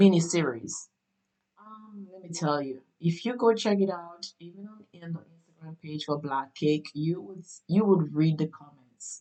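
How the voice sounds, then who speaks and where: In a Caribbean accent, a woman with a fairly low voice talks at a moderate pace with ordinary pitch variation and big swings in loudness. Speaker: podcast host and actress. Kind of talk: casual podcast monologue. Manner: animated, many fillers.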